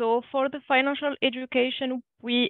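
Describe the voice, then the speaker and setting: A woman with a French accent speaks very slowly at a high pitch. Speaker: budget counselor. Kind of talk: webinar presentation. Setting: online webinar. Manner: halting, many fillers.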